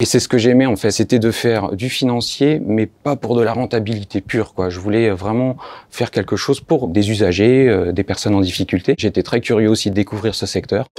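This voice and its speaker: Fairly quick speech with hardly any pauses, ordinary pitch variation and a dry, close sound with no echo. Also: man, fairly low pitch for a man, very clean recording, silent background. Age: 30s. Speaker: public sector finance officer. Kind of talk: testimony. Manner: hesitant, with frequent fillers.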